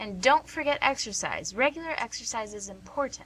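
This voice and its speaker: A female-sounding voice in a put-on character voice, high-pitched, moves at a fairly quick pace. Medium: audio drama. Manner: warm, teasing.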